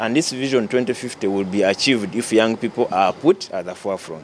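A man speaks with ordinary pitch variation. The sound is dry with no echo, and light background noise is present. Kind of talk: interview answer. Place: hall. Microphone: handheld.

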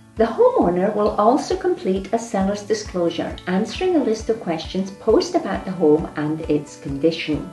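A woman speaks at a moderate pace. Audible room echo surrounds her voice, with faint music in the background. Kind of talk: tutorial. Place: office.

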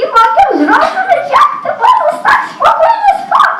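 In a put-on character voice, someone speaks at a moderate pace in a shrill, extremely high pitch. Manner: complaining, nagging.

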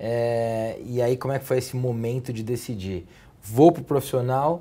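Somewhat breathy and dark, mellow in tone, a man speaks at a moderate pace with fairly even intonation. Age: 30s. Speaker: TV talk show host. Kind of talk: interview. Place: office. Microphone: lapel.

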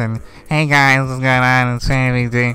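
Putting on a character voice, a man speaks fairly slowly at a medium pitch with monotone, flat intonation.

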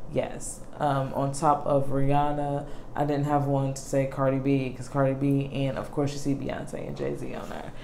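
With hardly any pauses, a woman speaks at a moderate pace in a very deep, low pitch and flat, monotone intonation, with audible room echo and light background noise. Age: 30s. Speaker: beauty YouTuber; vlogger. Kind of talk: casual vlog chat. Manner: rambling with many fillers. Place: home room. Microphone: phone near.

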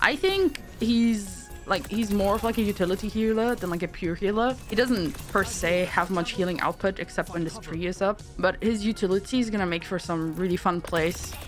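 With music in the background, a woman at medium pitch talks at a moderate pace with ordinary pitch variation and hardly any pauses. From Germany. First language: German. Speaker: Twitch streamer. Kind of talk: game ability overview voiceover. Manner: casual.

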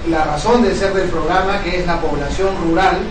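A man speaks with audible room echo. Clear music plays in the background. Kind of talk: formal opening speech. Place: meeting room. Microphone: camera far.

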